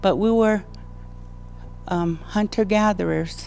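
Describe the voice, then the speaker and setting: Over music in the background, a woman speaks at a very slow pace with fairly even intonation. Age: 60s. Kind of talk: public speech. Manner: halting.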